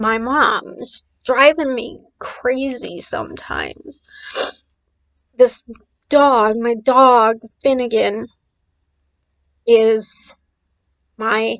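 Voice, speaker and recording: Speaking at a very slow pace with long, frequent pauses, a woman keeps a fairly high pitch and fairly even intonation. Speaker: vlogger. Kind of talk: casual vlog monologue.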